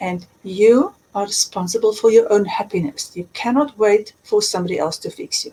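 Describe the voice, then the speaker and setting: With a South African accent, a woman talks at a moderate pace. Her loudness swings widely. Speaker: life coach and author. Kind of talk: interview. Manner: emphatic.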